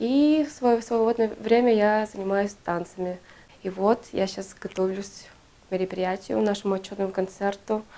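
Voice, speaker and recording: The speech moves along moderately. Its pitch rises and falls in ordinary measure. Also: woman. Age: 20s. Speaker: municipal employee and dancer. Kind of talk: documentary interview.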